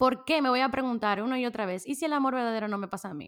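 Fairly quick, animated speech in a Dominican accent, with ordinary pitch variation. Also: woman. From Dominican Republic. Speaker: podcast host. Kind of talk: casual solo podcast monologue. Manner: animated, frequent laughter.

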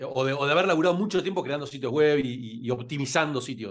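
A man is speaking. His intonation is lively. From Argentina (Rosario, Buenos Aires). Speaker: entrepreneur and LinkedIn expert. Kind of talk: interview.

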